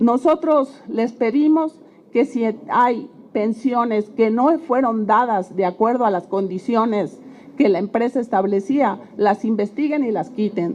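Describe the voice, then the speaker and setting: A woman's fairly high voice at a fairly slow pace with ordinary pitch variation, over noticeable background noise. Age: 60s. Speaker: retired oil company worker. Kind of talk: public testimony.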